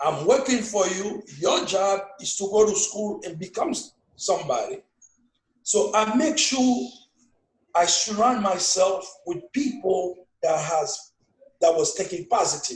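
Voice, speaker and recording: A man with a strong Haitian accent speaks at a high pitch and a fairly slow pace. His intonation is lively. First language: Haitian Creole. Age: 50s. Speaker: father being interviewed. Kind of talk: casual family interview.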